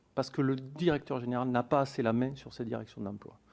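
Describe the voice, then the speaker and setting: Talking at a very fast pace, a man with a Toulouse accent keeps his intonation fairly even. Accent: southern French (Toulouse). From southern France, Toulouse area. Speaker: police union representative. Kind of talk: testimony before a parliamentary committee. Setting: hearing room with microphones. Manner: formal.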